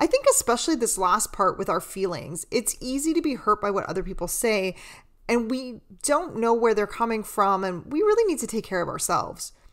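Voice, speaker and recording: In a very clean recording with a silent background, a woman with an unremarkable speaking voice talks at a fairly quick pace and a fairly high pitch. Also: lively intonation. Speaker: psychotherapist and podcast host. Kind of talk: podcast intro and narration.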